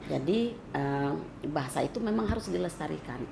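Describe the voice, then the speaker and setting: Against noticeable background noise and audible room echo, the speaker talks at a moderate pace in a West Sumatran accent. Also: woman. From West Sumatra (Minangkabau). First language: Minangkabau (speaking Indonesian). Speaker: cultural commentator. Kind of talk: interview.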